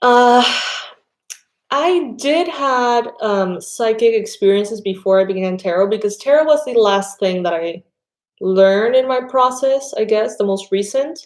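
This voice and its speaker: A woman with a Spanish accent speaks at a fairly slow pace with lively intonation. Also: fairly high pitch for a woman. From Panama. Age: 30s. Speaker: tarot reader. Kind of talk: casual chat. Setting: live stream.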